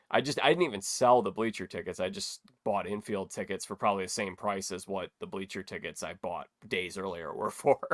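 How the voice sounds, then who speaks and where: On a very clean recording with a silent background, a man with an ordinary speaking voice talks at a fairly quick pace with ordinary pitch variation. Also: fairly low pitch for a man. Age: 20s. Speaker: podcast host. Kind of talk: casual interview chat.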